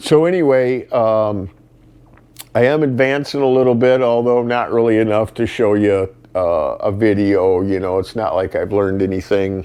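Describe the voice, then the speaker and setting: An unremarkable speaking voice holds a moderate speed, its pitch varying in an ordinary way. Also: man, medium pitch for a man. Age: 50s. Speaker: vlogger and mechanic. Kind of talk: casual vlog talk to camera. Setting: at home in front of fireplace. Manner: casual with many fillers.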